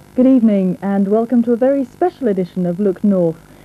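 The intonation here is lively. The pace stays moderate. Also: woman. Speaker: regional TV news presenter; TV news presenter. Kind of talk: 1980s regional TV news broadcast, scripted presenter intro. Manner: wry, formal, mock-grand. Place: studio. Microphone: lapel.

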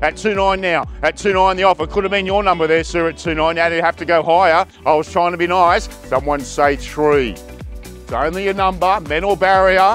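A man at a moderate pace with ordinary pitch variation and hardly any pauses, dry with no echo, faint music in the background. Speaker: auctioneer. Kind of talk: auction calling. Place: garden.

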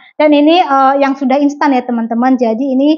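A woman speaks at a high pitch with fairly even intonation. The background is quiet. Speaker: home cooking vlogger. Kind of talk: casual vlog chat. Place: kitchen. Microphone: lapel.

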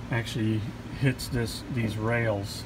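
Noticeable background noise is present. The talking is very slow. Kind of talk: tutorial. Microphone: phone near.

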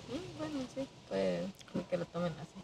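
A woman's high, dark and mellow voice with big swings in pitch, at a moderate pace

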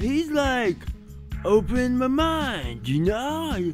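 Clear music plays in the background as a man speaks at an extremely high pitch. He talks at a very slow pace with lively intonation. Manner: slow, drawling surfer-stoner talk.

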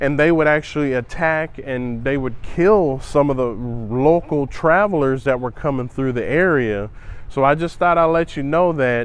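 A man speaks at a moderate pace with ordinary pitch variation. The sound is dry with no echo. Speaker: travel vlogger. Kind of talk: casual vlog chat. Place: tunnel cave. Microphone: lapel.

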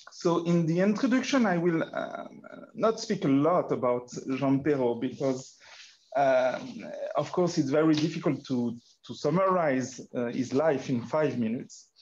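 A man talks in a French accent at a fairly high pitch and fairly slow pace. His intonation is lively, with light background noise behind him. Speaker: archaeologist and workshop organizer. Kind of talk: workshop moderation. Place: meeting room. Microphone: video call.

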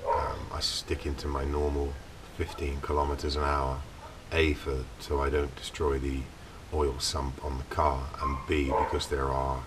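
The clip carries noticeable background noise. Over it, a man speaks at a fairly slow pace. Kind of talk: casual vlog chat. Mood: relaxed storytelling. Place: open country. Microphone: camera far.

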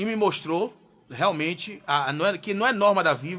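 The voice has a bright, sharp tone and sounds animated. It moves along at a moderate pace. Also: man. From Bahia, Brazil. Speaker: radio host. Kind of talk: live radio talk show. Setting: studio. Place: studio. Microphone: studio mic.

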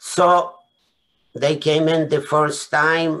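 In a Polish accent, a man speaks at a fairly high pitch. His pace is very slow. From Poland. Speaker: Holocaust survivor. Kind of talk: testimony. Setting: video call. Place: home room. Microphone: webcam.

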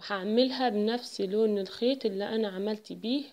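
This woman speaks with an Egyptian accent. Her pitch is medium, with ordinary variation. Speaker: embroidery and sewing tutor. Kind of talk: tutorial.

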